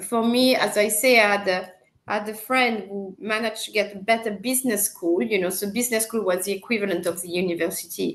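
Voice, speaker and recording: A woman with a French accent at a very fast pace, medium pitch and ordinary pitch variation. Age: 50s. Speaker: marketing executive. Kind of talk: interview. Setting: live video stream.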